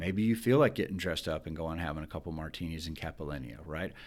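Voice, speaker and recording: Very clean recording, silent background. A man talks fairly quickly with a Southern US accent and ordinary pitch variation. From Alabama, US South. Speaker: hotel food and beverage director. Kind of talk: interview.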